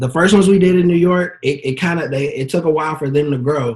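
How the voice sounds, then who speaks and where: At a fairly quick pace, a man speaks with a somewhat breathy voice and ordinary pitch variation. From Texas, Dallas. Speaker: event promoter and marketer. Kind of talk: casual interview chat.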